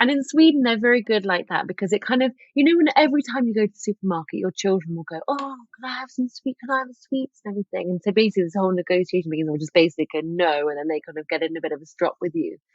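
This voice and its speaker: A woman talks very fast with a strong English accent and hardly any pauses. Her medium pitch swings very widely. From England. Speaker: author and lifestyle expert. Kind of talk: podcast interview.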